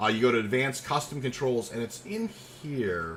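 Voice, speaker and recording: A man's medium-pitched voice with very wide pitch swings, fairly slow delivery and noticeable background noise. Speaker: video game streamer. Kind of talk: live gameplay stream chat. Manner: halting, many fillers.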